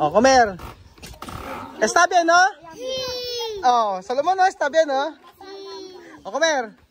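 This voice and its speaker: Over noticeable background noise, a man with an extremely high pitch speaks at a moderate pace, using lively intonation and long, frequent pauses. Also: dry sound with no echo. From Philippines. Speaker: vlogger. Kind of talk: casual vlog narration. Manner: animated. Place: open country. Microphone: phone near.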